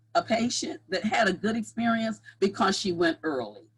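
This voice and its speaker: A woman speaks at a moderate pace in a fairly high pitch. Vocal fry runs through her voice. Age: 60s. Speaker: cancer survivor, patient advocate. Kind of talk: testimony. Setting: online summit. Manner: animated.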